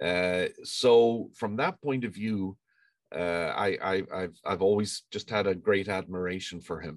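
A man with an Irish accent, fairly low pitch, ordinary pitch variation and a fairly slow pace. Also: quiet background. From Ireland. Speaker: engineering professor. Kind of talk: interview.

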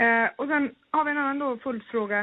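A woman uses an ordinary speaking voice at a moderate pace with ordinary pitch variation. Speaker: podcast co-host. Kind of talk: casual interview.

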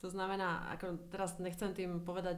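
There is audible room echo around the voice. The speaker is a woman. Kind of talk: casual interview.

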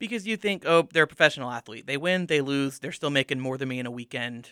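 Very fast and with lively intonation, a man speaks at a fairly high pitch. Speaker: student media advisor. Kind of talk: casual sports discussion.

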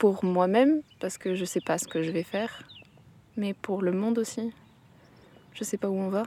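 A woman talks at a moderate pace, with ordinary pitch variation. Her speech has long, frequent pauses. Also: medium pitch for a woman. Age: 20s. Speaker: agricultural school student. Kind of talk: reflective monologue. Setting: outdoors.

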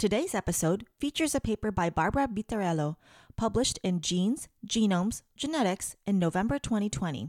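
In a normal speaking voice, a woman talks at a fairly quick pace with medium pitch and lively intonation. The recording is very clean with a silent background and a dry, close sound with no echo. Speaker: podcast host. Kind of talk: scripted narration.

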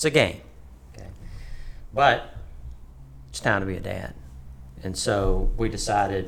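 A man with an Alabama accent, vocal fry and very wide pitch swings, in audible room echo. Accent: US Southern (Alabama). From Alabama, Tuscaloosa. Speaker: business owner. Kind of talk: casual interview, storytelling.

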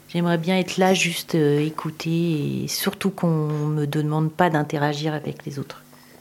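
A woman's very deep, low pitch in a monotone, flat intonation, over noticeable background noise. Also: moderate pace. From France, Tours. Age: 50s. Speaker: homemaker. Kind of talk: personal testimony. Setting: in a home. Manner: halting.

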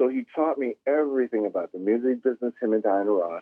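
A man is talking here. His voice falls at a medium pitch. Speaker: musician. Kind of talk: casual interview chat. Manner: animated, laid-back.

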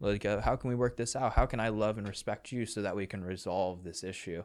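A man with an American accent and a plain, everyday voice speaks at a fairly quick pace, his fairly low pitch showing ordinary variation, on a very clean recording with a silent background. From outside the US South. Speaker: podcast host. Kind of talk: casual interview.

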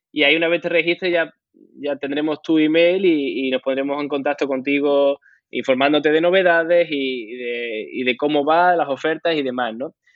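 Using a normal speaking voice, a man talks at a moderate pace with fairly even intonation and a fairly high pitch. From Andalusia, Huelva. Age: 30s. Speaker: blockchain real estate startup founder. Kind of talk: casual interview.

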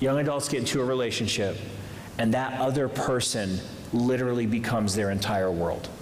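Speaking in an American accent, a man uses an animated tone, a medium pitch and ordinary pitch variation at a very even loudness, with noticeable background noise behind him. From Massachusetts, then Indianapolis. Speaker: youth pastor and campus ministry leader. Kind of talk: sermon. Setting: church stage with audience. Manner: animated, humorous, preacher cadence.

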